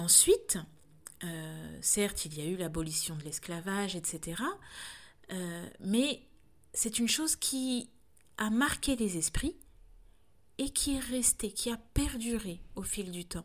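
A woman talks very slowly at a medium pitch, leaving long, frequent pauses. Her intonation is lively. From France. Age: 30s. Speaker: doula and podcaster. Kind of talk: solo reflective monologue. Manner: halting, frequent hesitations.

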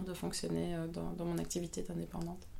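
A woman speaks with a fairly low pitch. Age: 30s. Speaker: photographer. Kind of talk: interview. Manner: hesitant, many fillers.

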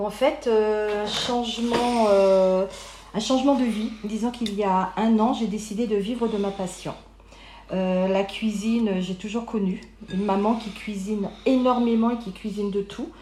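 With audible room echo, a woman speaks at a fairly slow pace. Her fairly high pitch carries fairly even intonation. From Paris region, France. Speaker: caterer. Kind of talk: interview.

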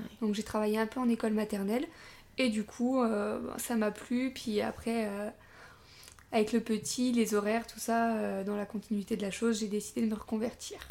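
Her delivery is monotone and flat, at a moderate pace with long, frequent pauses. The woman's pitch sits fairly high. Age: 20s. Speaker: young mother sharing birth story. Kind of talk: casual interview. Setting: at guest's home.

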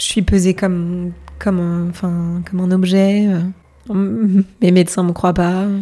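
In a dark, mellow tone, a woman speaks very slowly at medium pitch with monotone, flat intonation. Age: 30s. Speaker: hotel finance worker and illness survivor. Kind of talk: testimony. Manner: hesitant, casual.

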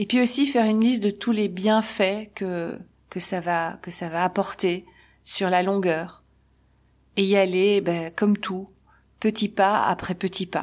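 Speaking at a very slow pace with long, frequent pauses, a woman uses a medium pitch and fairly even intonation in a very clean recording with a silent background. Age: 50s. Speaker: podcaster, spiritual coach. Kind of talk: solo podcast monologue. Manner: casual, hesitant with repetitions.

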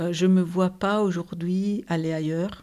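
A woman speaks slowly, at a fairly unhurried pace, in a dark, mellow tone with a fairly low pitch and an Italian accent. Her intonation is monotone and flat, and the recording is very clean with a silent background. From Italy, Turin area (Ivrea). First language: Italian (speaking French). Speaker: business executive. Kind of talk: interview. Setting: host's living room.

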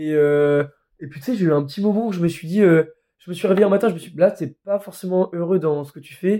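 A man with a high pitch and a dark, mellow tone races along at a very fast pace, with ordinary pitch variation and big swings in loudness, on a very clean recording with a silent background. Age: 20s. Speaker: young traveller. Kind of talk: casual chat.

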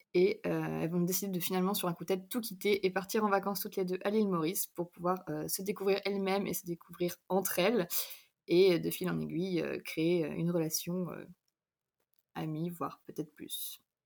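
Her pitch medium and her intonation fairly even, a woman talks at a fairly quick pace. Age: 20s. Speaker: novelist. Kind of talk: casual chat.

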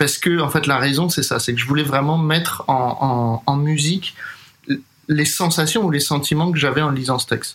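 A man talks at a moderate pace with a fairly high pitch, fairly even intonation and very even loudness. Noticeable background noise runs behind him. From Paris, France. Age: 30s. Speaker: jazz drummer and composer. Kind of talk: interview.

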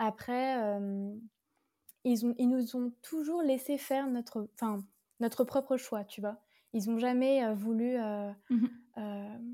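A woman's high, dark and mellow voice with fairly even intonation, a very slow pace and long, frequent pauses, on a very clean recording with a silent background. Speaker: yoga teacher and astrologer. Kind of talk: casual chat.

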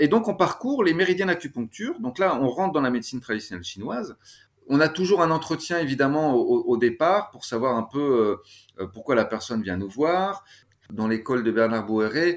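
Here a man speaks at a moderate pace. His fairly high voice swings very widely in pitch. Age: 40s. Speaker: Qi gong teacher and shiatsu practitioner. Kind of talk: casual interview. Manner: lively, upbeat; frequent stammered repetitions.

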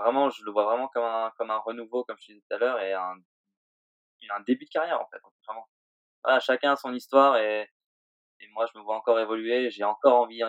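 This man talks at a very fast pace, with big swings in loudness. Long, frequent pauses break up his speech. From Réunion, then Switzerland from age 10. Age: 20s. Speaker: pro snowboarder. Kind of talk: interview. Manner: halting.

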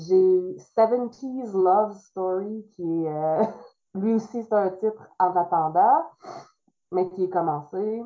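In a Quebec accent, a woman of medium pitch speaks at a very slow pace with long, frequent pauses, big swings in loudness, and ordinary pitch variation. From Quebec, Trois-Rivières area. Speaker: illustrator and author. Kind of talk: interview.

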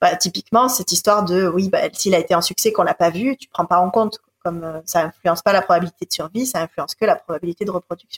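At a very fast pace with hardly any pauses, a woman talks at a medium pitch with ordinary pitch variation and big swings in loudness, the sound dry and close with no echo. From France, Marseille. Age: 30s. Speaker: ecologist and environmental leadership founder. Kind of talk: interview.

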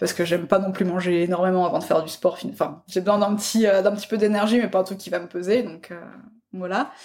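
The speech is very fast, with big swings in loudness and fairly even intonation. Noticeable background noise runs underneath. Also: woman, medium pitch for a woman. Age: 20s. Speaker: food photographer. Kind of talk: casual chat. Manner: hesitant, many fillers.

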